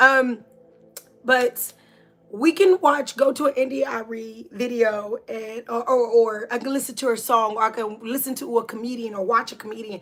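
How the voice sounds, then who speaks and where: Against noticeable background noise, a woman with a high pitch speaks in an animated tone at a fairly slow pace, her pitch varying in an ordinary way. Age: 40s. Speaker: spiritual livestream host. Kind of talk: inspirational talk.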